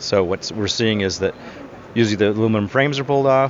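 A man's voice over noticeable background noise. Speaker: solar panel recycling businessman. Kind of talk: interview.

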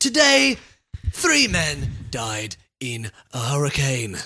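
At a very slow pace, a raspy put-on character voice speaks in a low-to-middle pitch. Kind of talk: formal. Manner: rising inflection.

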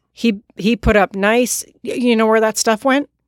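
A woman with an ordinary speaking voice, dry and close with no echo, ordinary pitch variation, a moderate pace, and a very clean recording over a silent background. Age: 40s. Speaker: podcast guest, host's wife. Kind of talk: casual chat.

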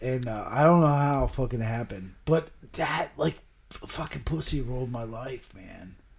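A somewhat breathy man speaks at medium pitch. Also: ordinary pitch variation, moderate pace, big swings in loudness. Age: 40s. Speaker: podcaster. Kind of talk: casual chat.

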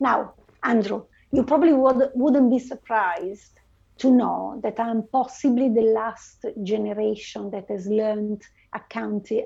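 With an Italian accent, a woman speaks at a fairly slow pace in a dark, mellow voice of fairly high pitch, with ordinary pitch variation. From northern Italy. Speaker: finance and IT transformation leader. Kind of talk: interview.

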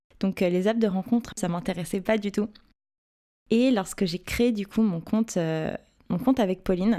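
On a very clean recording with a silent background, a woman with a medium-pitched voice and a dark, mellow tone speaks with fairly even intonation and long, frequent pauses. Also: moderate pace. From Paris, France. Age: 20s. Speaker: digital communications project manager. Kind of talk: personal storytelling. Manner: hesitant.

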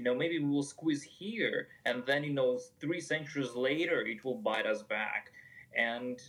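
A man with a non-native accent speaks. His pitch sits fairly high, with lively intonation. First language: not English. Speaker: podcast co-host, evolutionary biologist. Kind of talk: casual chat. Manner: halting.

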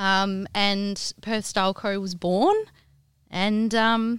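A woman speaks in an Australian accent at a medium pitch. The recording is very clean, with a silent background. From Western Australia goldfields, Kalgoorlie. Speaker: home stylist and business founder. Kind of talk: interview.

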